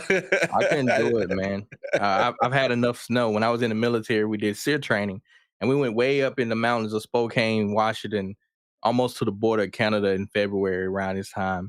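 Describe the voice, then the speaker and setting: A man speaks at a medium pitch with ordinary pitch variation and a slight Southern US accent. The background is quiet. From US South, rural Mississippi. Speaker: rapper and Air Force veteran. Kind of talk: casual chat.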